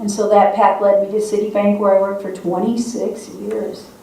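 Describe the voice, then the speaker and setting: A woman with an Upper Midwest accent speaks at a fairly quick pace in a medium pitch, her intonation monotone and flat. Noticeable background noise and audible room echo fill the recording. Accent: Upper Midwest American. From South Dakota, Sioux Falls. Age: 60s. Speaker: state legislator. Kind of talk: speech to a congregation.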